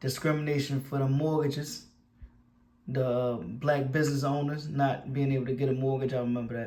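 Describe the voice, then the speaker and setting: Audible room echo surrounds a man speaking at a fairly quick pace. He has an American accent and a fairly high pitch. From Baltimore, Maryland. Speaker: YouTuber. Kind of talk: casual commentary. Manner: animated.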